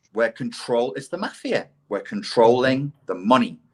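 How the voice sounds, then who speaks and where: This is a man speaking. He has a British accent. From England. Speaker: CPTSD expert, ex-life coach. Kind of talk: casual podcast conversation. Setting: live online podcast.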